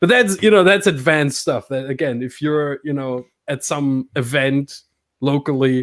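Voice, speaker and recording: A man with a non-native accent, fairly high in pitch, at a moderate pace. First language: not English. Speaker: simracing commentator and podcast co-host. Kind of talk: casual chat.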